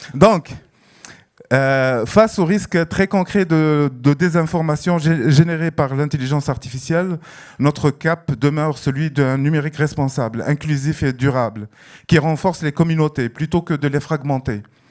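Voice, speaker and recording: A man speaks at a fairly slow pace in a fairly high pitch, with music playing in the background. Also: ordinary pitch variation. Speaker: festival director. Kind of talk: prepared speech. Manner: hesitant, many fillers.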